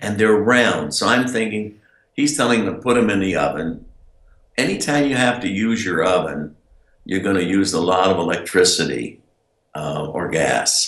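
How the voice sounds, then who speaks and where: In an ordinary speaking voice, a man with an American accent talks at a moderate pace and a fairly low pitch. His intonation is lively. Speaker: inventor and direct marketer. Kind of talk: casual interview answer.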